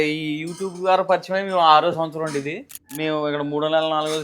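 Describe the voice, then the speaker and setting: A man's fairly high voice with fairly even intonation, against noticeable background noise. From East Godavari, Andhra Pradesh. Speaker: dairy farmer. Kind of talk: interview.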